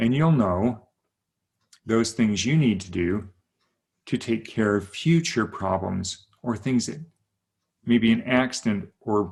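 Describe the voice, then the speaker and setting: The voice belongs to a man. The rise and fall of his pitch is ordinary. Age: 60s. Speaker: wellness coach. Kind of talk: sales pitch.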